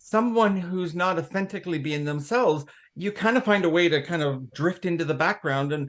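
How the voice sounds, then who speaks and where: The speaker has a Canadian accent and talks at a moderate pace against a quiet background. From Canada. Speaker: former technology executive, diversity consultant. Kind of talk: interview.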